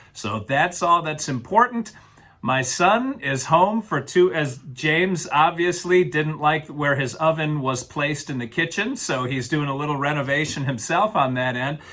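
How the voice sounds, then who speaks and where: With an unremarkable speaking voice, a man talks at a moderate pace, his pitch fairly high and his intonation lively. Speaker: podcast co-host. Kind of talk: casual chat.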